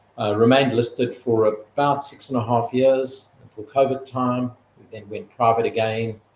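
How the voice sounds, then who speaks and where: Speaking in a South African accent at a moderate pace, a man holds a medium pitch with monotone, flat intonation, though his loudness swings a lot. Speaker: retail executive. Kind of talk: interview.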